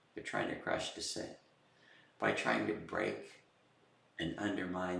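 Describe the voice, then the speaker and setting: A man with an American accent talks at a moderate pace in a room with audible echo. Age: 70s. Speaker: political commentator. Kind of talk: political monologue. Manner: halting, many fillers and repeats.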